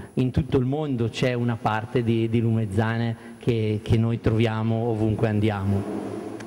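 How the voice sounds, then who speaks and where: Monotone, flat intonation and very even loudness come at a fairly slow pace over light background noise. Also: man. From northern Italy. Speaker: mayor; local official at panel event. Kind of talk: panel discussion. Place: factory. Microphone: handheld.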